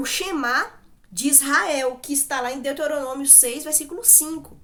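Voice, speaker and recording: Animated in tone, a woman speaks in a raised, projected voice at a high pitch. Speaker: Bible teacher. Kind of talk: Bible study talk.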